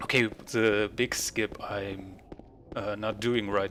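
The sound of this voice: A man speaks in a continental European accent with a fairly bright tone. His pitch is fairly low and his intonation fairly even. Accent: non-native English, continental European.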